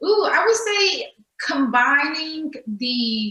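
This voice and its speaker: This woman talks with a Texas accent. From Texas, Dallas. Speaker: nonprofit strategist and grant writer. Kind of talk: interview.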